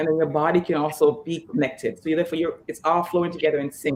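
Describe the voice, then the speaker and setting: At a very fast pace, a woman speaks with a very deep, low pitch and fairly even intonation. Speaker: fitness trainer. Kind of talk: interview.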